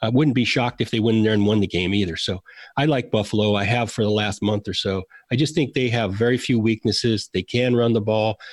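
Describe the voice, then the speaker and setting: A man with a normal speaking voice and fairly low pitch keeps very even loudness and fairly even intonation, in a dry, close sound with no echo. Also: fairly quick pace, quiet background. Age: 50s. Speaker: former football executive. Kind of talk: interview.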